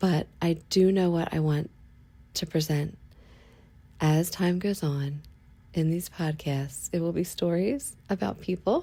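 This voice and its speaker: In a very clean recording with a silent background, a woman speaks with a dark, mellow tone, a fairly low pitch and some breathiness, leaving long, frequent pauses. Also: ordinary pitch variation, fairly slow pace. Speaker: podcast host. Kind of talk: casual monologue. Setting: lying in bed at home.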